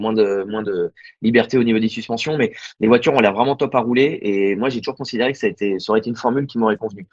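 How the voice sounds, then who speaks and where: A man talks very rapidly, his pitch mid-range and its rise and fall typical. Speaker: amateur racing driver. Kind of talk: interview. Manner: casual, hesitant with repetitions.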